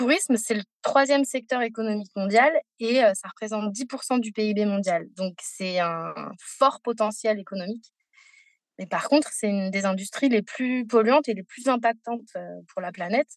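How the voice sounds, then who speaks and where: At a moderate pace, the voice shows ordinary pitch variation in a dry, close sound with no echo. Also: woman, fairly high pitch for a woman. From Paris, France. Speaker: sustainable tourism professional. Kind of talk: interview. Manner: hesitant.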